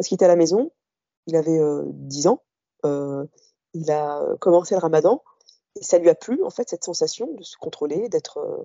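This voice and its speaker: A woman speaks at a fairly quick pace. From Algeria, Oran, Kabyle parents, raised in France from early childhood. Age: 40s. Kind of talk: personal testimony interview. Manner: halting, many hesitations.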